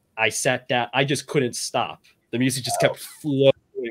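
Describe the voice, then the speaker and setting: In a plain, everyday voice at medium pitch, a man speaks at a moderate pace with a dry, close sound and no echo. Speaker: fiction writer. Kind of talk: casual chat. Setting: video call.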